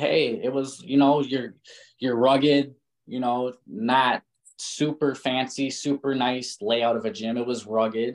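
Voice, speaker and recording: A man's medium-pitched, fairly slow delivery in a normal speaking voice. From Minnesota. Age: 30s. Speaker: professional boxer. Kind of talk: interview.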